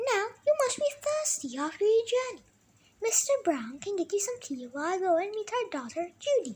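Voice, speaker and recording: Squeaky and extremely high-pitched, a woman performs a put-on character voice. Her pitch swings very widely at a moderate pace. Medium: read story. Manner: warm, motherly.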